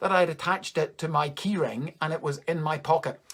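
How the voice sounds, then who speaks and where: With a Northern Irish accent, a man speaks at a moderate pace and a fairly high pitch. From Northern Ireland, Coleraine. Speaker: comedian. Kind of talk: stand-up. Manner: casual, conversational.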